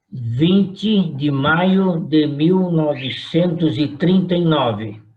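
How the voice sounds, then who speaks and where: A man speaks at a very slow pace in a fairly high voice, his loudness very even, with audible room echo around him. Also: ordinary pitch variation. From Brazil, São Paulo. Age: 80s+. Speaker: retired pastor. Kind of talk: oral history interview.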